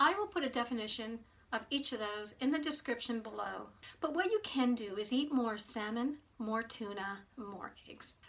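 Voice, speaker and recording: Here is a normal speaking voice from a woman at a moderate pace. Her pitch is fairly high, with ordinary pitch variation. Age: 60s. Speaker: nutrition coach, health vlogger. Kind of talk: informational talk to camera.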